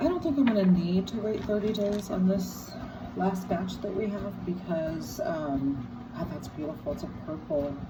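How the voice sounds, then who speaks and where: A fairly low-pitched woman's voice in a room with audible echo and noticeable background noise. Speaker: rock collector. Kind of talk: casual video talk. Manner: relaxed, hesitant with fillers.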